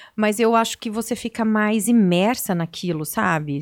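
A woman with an unremarkable speaking voice talks at a medium pitch with lively intonation. The recording is very clean, with a silent background. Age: 40s. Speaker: TV and radio presenter. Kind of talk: interview.

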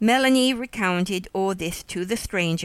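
This is a reading voice. It sounds natural.

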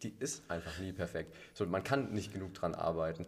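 A man with a very deep, low pitch and a somewhat breathy voice speaks at a moderate pace with lively intonation. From Allgäu, southern Germany. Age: 20s. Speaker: boatbuilder apprentice, CrossFit member. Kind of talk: casual interview chat.

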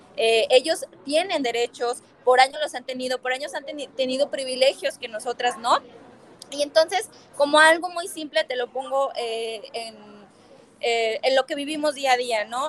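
Moderate pace, big swings in loudness and ordinary pitch variation, in a dry, close sound with no echo and noticeable background noise. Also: woman, high pitch for a woman. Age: 20s. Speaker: politician and women's rights activist. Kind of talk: interview conversation.

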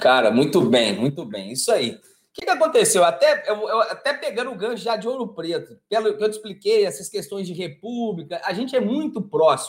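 Pauses are almost absent. The delivery runs fairly quick. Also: man. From Brazil, Minas Gerais (Araxá). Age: 40s. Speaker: environmental consultant. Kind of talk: casual interview chat. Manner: animated, with frequent repetitions and fillers.

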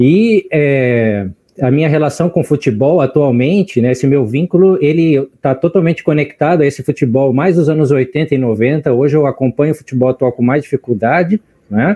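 The speaker holds a very even loudness throughout, with ordinary variation in pitch. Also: man, moderate pace. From Brazil, Porto Alegre (Rio Grande do Sul). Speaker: biologist and teacher. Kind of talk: casual chat.

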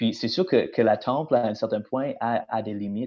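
This man's voice sits at a medium pitch. His pace is moderate. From British Columbia, Canada. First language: English (speaking French). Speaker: teacher and church intern. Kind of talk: casual chat. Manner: halting.

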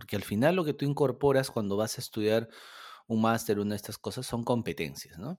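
A man with a fairly low voice speaks at a moderate pace. His pitch swings very widely. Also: very clean recording, silent background. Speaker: podcast co-host. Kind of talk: casual chat.

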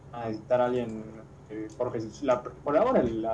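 With noticeable background noise behind him, a man speaks at a fairly quick pace and medium pitch with ordinary pitch variation. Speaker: football podcast co-host. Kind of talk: casual chat.

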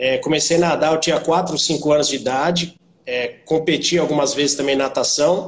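This man's voice, an unremarkable speaking voice, sits fairly high and proceeds at a moderate pace. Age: 30s. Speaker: personal trainer. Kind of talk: interview.

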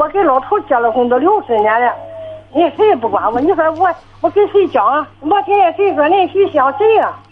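A woman's extremely high voice with very wide pitch swings, a fairly quick pace and very even loudness, set against noticeable background noise. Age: 70s. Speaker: caller. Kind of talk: phone-in call. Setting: phone call. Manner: clear, fluent for her age; halting, repetitive. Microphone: poor phone line.

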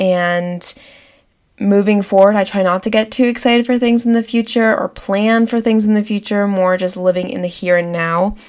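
A woman speaks in a normal speaking voice at a moderate pace. Her pitch is medium and her intonation fairly even. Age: 20s. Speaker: podcast host. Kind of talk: solo podcast monologue.

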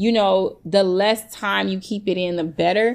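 Talking at a fairly slow pace, a woman with an American accent has an unremarkable speaking voice at a medium pitch. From US Midwest, south side of Chicago. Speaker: hairstylist. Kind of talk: casual interview. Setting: remote recording.

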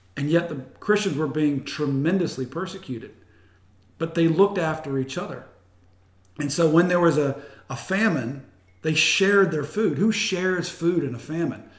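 A man with a fairly high pitch at a moderate pace, long, frequent pauses, and audible room echo. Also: ordinary pitch variation. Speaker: pastor. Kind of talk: casual interview. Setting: host's home.

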